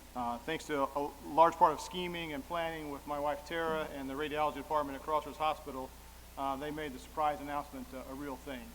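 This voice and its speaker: At a very fast pace, a man with an American accent and a fairly high pitch talks in a monotone, flat way, his loudness swinging widely, with audible room echo. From southern Illinois. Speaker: radiologist. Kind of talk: award acceptance speech. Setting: stage with audience at dinner.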